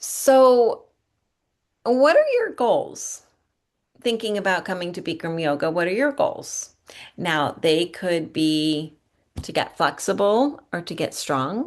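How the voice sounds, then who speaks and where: Against a quiet background, a woman speaks very slowly at a medium pitch, with very wide pitch swings and long, frequent pauses. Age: 50s. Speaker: yoga studio owner and teacher. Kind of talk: webinar presentation.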